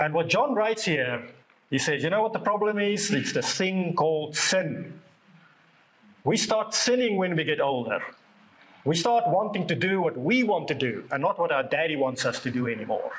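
A man speaks at a high pitch with very wide pitch swings. His loudness stays very even. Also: moderate pace. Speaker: preacher. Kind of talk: sermon. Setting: church service with congregation.

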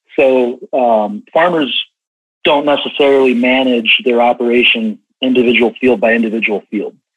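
A man in a Midwestern American accent, medium pitch and ordinary pitch variation, at a moderate pace. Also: very even loudness. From US Midwest, rural Illinois. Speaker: regional sales manager in ag tech. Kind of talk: podcast interview.

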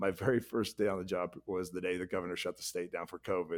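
The speaker is a man with an American accent. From US South (northwest Arkansas / Oklahoma). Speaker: city manager. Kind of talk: casual chat. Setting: remote call.

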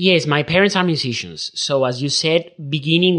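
This man has a fairly high voice with an Andalusian accent. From southern Spain. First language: Spanish. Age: 30s. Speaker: concert pianist. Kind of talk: casual interview.

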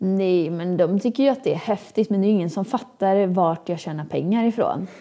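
At a moderate pace, a woman speaks in a medium-pitched voice with a dark, mellow tone and ordinary pitch variation. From Sweden, Åmål (Dalsland). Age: 20s. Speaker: social media influencer and fitness entrepreneur. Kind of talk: casual interview.

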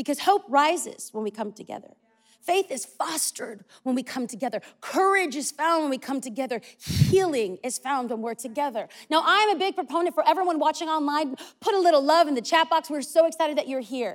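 A high-pitched woman's voice in an American accent, fairly quick and full of lively intonation. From California. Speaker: pastor. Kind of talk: sermon. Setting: church.

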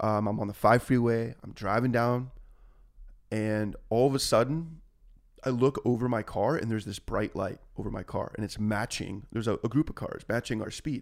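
Recorded very cleanly against a silent background, a man with an American accent speaks at a moderate pace and medium pitch, his intonation fairly even. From Orange County, California. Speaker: musician. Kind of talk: casual chat.

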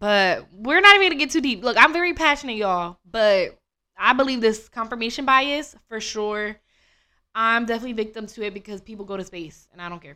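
On a very clean recording with a silent background, a woman talks at a fairly quick pace in a bright, sharp tone, with lively intonation and big swings in loudness. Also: fairly high pitch for a woman. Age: 20s. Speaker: podcast host. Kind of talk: casual chat. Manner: animated.

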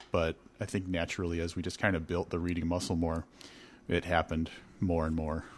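A man speaks at a fairly quick pace in a very deep, low pitch, but with long, frequent pauses. His intonation is monotone and flat, on a very clean recording with a silent background. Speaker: podcast host. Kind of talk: casual chat.

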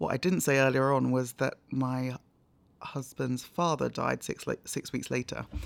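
Moderate pace in a London accent, with ordinary pitch variation. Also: woman, very deep, low pitch for a woman. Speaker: charity media lead and broadcaster. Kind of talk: interview.

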